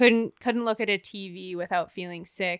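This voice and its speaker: With a Canadian accent, a woman speaks in a normal speaking voice at medium pitch and a moderate pace, on a very clean recording with a silent background. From Canada, Banff, Alberta. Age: 30s. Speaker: professional skier. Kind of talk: casual chat. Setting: in person, Whistler.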